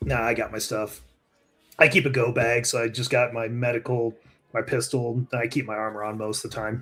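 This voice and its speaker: Putting on a raspy character voice, a man speaks at a medium pitch. His pace is fairly quick. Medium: actual play. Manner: dry, wisecracking.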